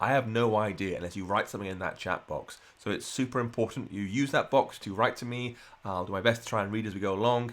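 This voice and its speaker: A man speaks very fast at a medium pitch with hardly any pauses and fairly even intonation, in a very clean recording with a silent background. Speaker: programming instructor. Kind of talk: live coding tutorial. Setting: livestream.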